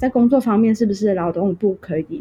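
A woman with a slight Hong Kong accent speaks at a fairly quick pace with lively intonation. Her tone is dark and mellow and somewhat breathy. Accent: Mandarin with little Hong Kong. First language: Cantonese (speaking Chinese). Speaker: Hong Kong migrant sharing experience. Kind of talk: interview conversation.

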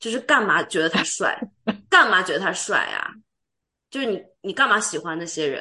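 A woman with a bright, sharp, animated tone and lively intonation, at a fairly quick pace with long, frequent pauses. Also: medium pitch for a woman. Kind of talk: casual chat. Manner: animated, frequent laughter.

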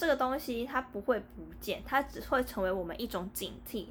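Using a normal speaking voice, a woman delivers her words at a moderate rate, her intonation lively. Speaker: podcast co-host. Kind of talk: casual chat.

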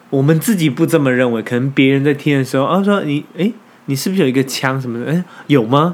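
At a very fast pace, a man with a Taiwanese accent talks at a fairly high pitch with ordinary pitch variation. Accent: Taiwanese Mandarin. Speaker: podcast co-host. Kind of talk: casual chat.

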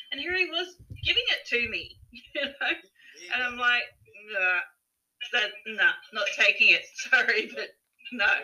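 A woman with an Australian accent, fairly slow and broken by long, frequent pauses. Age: 50s. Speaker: holistic health practitioner and author. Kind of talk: casual interview chat.

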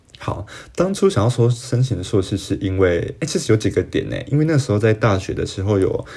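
At a fairly quick pace, a man with a fairly low pitch and a dark, mellow tone speaks with lively intonation and a somewhat breathy quality. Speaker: podcast host. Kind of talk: solo podcast monologue. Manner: casual, hesitant with fillers.

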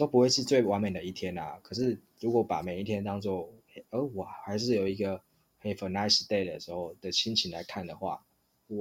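Recorded very cleanly against a silent background, a man uses an ordinary speaking voice with fairly low pitch and ordinary pitch variation. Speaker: podcast host. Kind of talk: casual chat.

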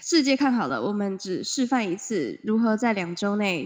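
A woman's fairly high-pitched voice, an ordinary speaking voice with lively intonation and a moderate pace. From Taiwan. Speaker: podcast co-host. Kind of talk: casual chat. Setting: remote Skype recording from home.

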